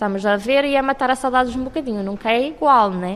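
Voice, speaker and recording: A woman with a normal speaking voice talks at a fairly quick pace, her pitch varying in an ordinary way. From Cape Verde, Fogo island. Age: 20s. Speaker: university student. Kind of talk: interview.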